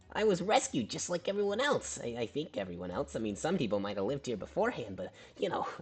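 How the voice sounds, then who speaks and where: A put-on character voice at a low-to-middle pitch, very fast pace, and light background noise. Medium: actual play. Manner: upbeat, showy.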